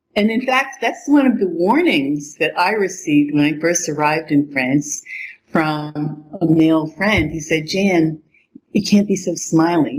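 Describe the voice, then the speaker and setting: A woman speaks in an ordinary speaking voice, fairly low in pitch and at a fairly slow pace. Her intonation is lively. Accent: American. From United States. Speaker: English teacher. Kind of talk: casual chat.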